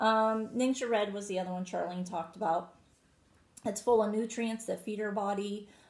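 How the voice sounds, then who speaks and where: The intonation stays fairly even, and the voice is somewhat breathy. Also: woman, medium pitch for a woman, moderate pace. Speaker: co-host selling wellness products. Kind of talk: casual product chat.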